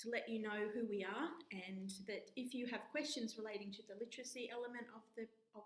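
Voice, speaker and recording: A woman speaks in an Australian accent at a fairly quick pace. Her voice is fairly high and somewhat breathy. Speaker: university lecturer. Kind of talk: course introduction talk. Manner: hesitant, with filler words.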